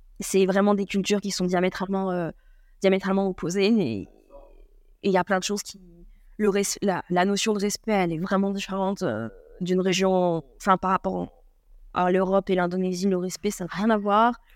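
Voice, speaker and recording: A woman at a medium pitch, moderate pace and monotone, flat intonation, with long, frequent pauses, in a very clean recording with a silent background. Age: 20s. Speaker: surfer and traveller. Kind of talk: casual interview.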